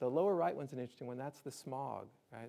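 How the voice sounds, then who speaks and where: The tone is dark and mellow, with a slight Southern US accent. Delivery is very fast, with ordinary pitch variation. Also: man. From US South, Alabama. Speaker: disaster preparedness speaker. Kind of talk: public lecture. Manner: conversational, animated.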